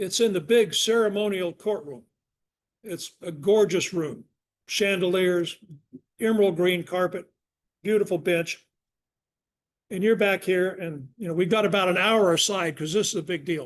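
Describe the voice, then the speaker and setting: Against a quiet background, a man with an American accent talks at a moderate pace in a high pitch for a man, with ordinary pitch variation and long, frequent pauses. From US Southwest. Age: 80s+. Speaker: retired law professor and attorney. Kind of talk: lecture.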